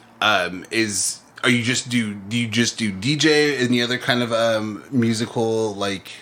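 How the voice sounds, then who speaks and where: Against noticeable background noise, a man's intonation stays fairly even. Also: medium pitch for a man, fairly slow pace, hardly any pauses. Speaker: podcast host. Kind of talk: casual interview chat. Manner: halting, many fillers.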